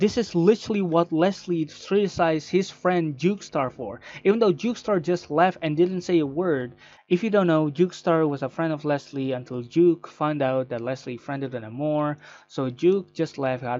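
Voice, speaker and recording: Here a man talks with a non-native accent. The background is quiet. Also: fairly high pitch for a man, ordinary pitch variation, moderate pace. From Indonesia. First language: not English. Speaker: content creator. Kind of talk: personal statement video. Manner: halting.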